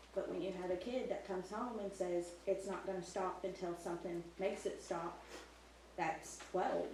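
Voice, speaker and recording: A woman speaks at a moderate pace and a medium pitch, her intonation fairly even, with audible room echo and noticeable background noise. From not from the local area. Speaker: parent speaking at public comment. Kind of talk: public comment at board meeting.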